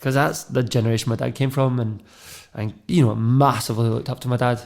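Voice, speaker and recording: A man with a west of Scotland accent talks at a fairly quick pace in a medium pitch, his intonation fairly even. The recording is very clean, with a silent background. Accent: west of Scotland Scottish. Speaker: media and radio producer. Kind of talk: personal testimony.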